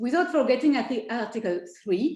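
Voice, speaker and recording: With a French accent, a woman speaks at a moderate pace with lively intonation. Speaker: law professor. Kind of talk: academic presentation.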